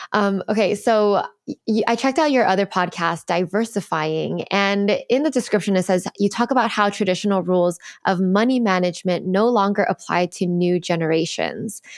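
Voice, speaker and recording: The background is quiet as a woman speaks at a moderate pace. Her pitch varies in an ordinary way. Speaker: podcast host. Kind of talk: interview conversation. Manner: warm, enthusiastic. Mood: warm, cheerful. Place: home room.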